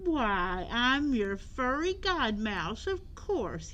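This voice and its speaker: A woman's high, squeaky, put-on character voice at a very slow pace, with clear background noise. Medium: read story.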